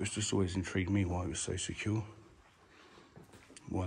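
Talking very fast over light background noise, a man with a very deep, low, somewhat breathy voice keeps a monotone, flat intonation. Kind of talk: casual vlog commentary. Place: empty room. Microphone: phone near.

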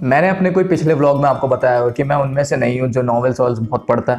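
Faint background music behind a man's voice. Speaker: vlogger. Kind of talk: casual vlog chat. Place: home room. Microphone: lapel.

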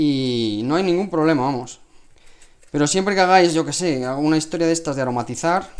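A man with a Spanish accent talks at a fairly quick pace. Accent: Peninsular Spanish. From Spain. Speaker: cooking channel host. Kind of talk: live cooking stream. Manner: casual, chatty. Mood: relaxed, friendly. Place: kitchen. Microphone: lapel.

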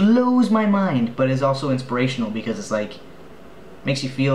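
A man at a moderate pace with fairly even intonation, amid light background noise and audible room echo. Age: 20s. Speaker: vlogger and film student; vlogger. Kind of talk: video blog. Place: home room. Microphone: webcam.

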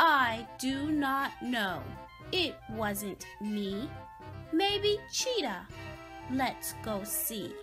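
A woman uses a put-on character voice with a bright, sharp tone and a fairly high pitch. She talks at a very slow pace with lively intonation over faint music in the background.

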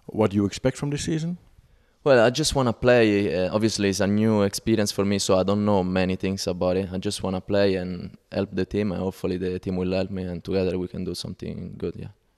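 Against a quiet background, a man with an Italian accent talks at a very fast pace and a fairly low pitch, with ordinary pitch variation. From Italy, Rome. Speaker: footballer. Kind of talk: interview; interview answer. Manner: halting. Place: hall. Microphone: handheld.

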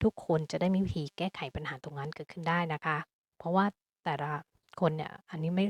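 A woman talks at a fairly low pitch with fairly even intonation. Hers is a plain, everyday voice. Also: dry, close sound with no echo. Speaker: astrologer. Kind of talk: astrology forecast monologue.

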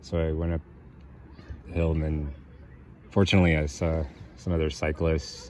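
There is light background noise and a dry sound with no echo. A man talks at a fairly slow pace in a very deep, low voice. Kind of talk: casual vlog chat. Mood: relaxed, self-mocking. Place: open country.

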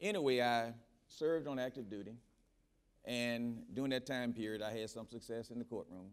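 A man talks with a Southern US accent and ordinary pitch variation. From Mississippi. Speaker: federal judge. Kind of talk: panel discussion. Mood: calm, reflective. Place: stage.

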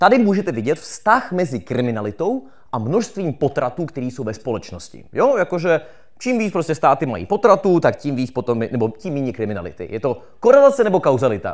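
Against a quiet background, a man with a fairly high voice and vocal fry talks at a fairly quick pace in an animated tone, his pitch swinging very widely. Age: 20s. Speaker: political science graduate and YouTuber; YouTuber. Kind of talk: live talk to audience. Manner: fast. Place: stage. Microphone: handheld.

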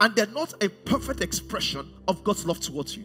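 A man speaks at a very fast pace with clear music in the background. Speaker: pastor. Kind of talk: sermon. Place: stage. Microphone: headset.

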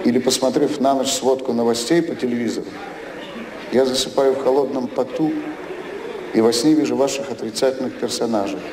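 Over noticeable background noise, a man speaks at a fairly quick pace with fairly even intonation. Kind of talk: satirical stage monologue. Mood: ironic, deadpan delivery. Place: stage. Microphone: podium.

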